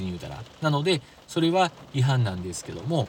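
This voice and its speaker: The voice moves at a moderate pace with very wide pitch swings, and noticeable background noise runs underneath. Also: man. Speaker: driving podcast host. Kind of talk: solo podcast talk.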